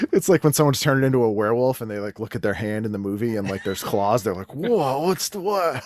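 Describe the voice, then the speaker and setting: Over noticeable background noise, a man with an American accent talks at a very fast pace with hardly any pauses, lively intonation and a medium pitch. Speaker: comedian and podcaster. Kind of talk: casual chat.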